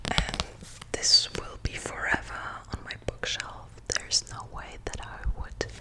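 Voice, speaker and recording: Whispered words come at a fairly slow pace, broken by long, frequent pauses, with noticeable background noise behind them. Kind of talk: ASMR book show and tell.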